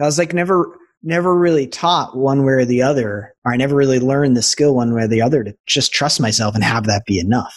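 A man speaks with an American accent in a somewhat breathy voice. The background is quiet. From Boston suburbs, US. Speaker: transformational business coach. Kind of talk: casual interview chat.

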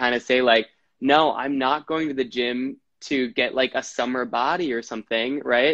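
This is an ordinary speaking voice, a man's, fairly high in pitch and with an American accent. He talks at a moderate pace, with a dry, close sound with no echo and a quiet background. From Wisconsin. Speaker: actor and health coach. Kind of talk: casual interview. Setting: video call.

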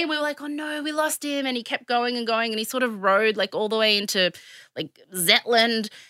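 A woman with a high pitch and a bright, sharp tone speaks at a fairly quick pace with lively intonation. The recording is very clean, with a silent background and a dry, close sound with no echo. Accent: Australian. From Australia, Sydney. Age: 30s. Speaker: podcast co-host. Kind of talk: casual chat. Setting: studio.

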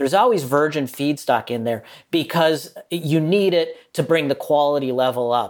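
Here a man with an American accent has a plain, everyday voice. His pitch is fairly high, with ordinary variation. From US Midwest, Minnesota. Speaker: journalist and author. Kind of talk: interview.

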